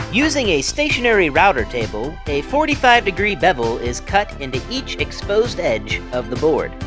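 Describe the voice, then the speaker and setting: Music can be heard underneath. The talking proceeds at a moderate pace. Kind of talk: documentary-style process narration.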